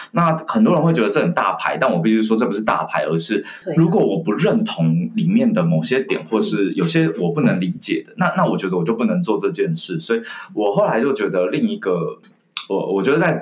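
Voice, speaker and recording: His pitch swings very widely. The man moves at a fairly quick pace. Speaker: communication skills trainer and author. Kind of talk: interview conversation.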